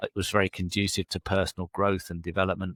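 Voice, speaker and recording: Talking at a very fast pace, a man with an English accent uses a very deep, low pitch and monotone, flat intonation, in a dry, close sound with no echo and a very clean recording with a silent background. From England. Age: 60s. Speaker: leadership coach. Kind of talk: interview.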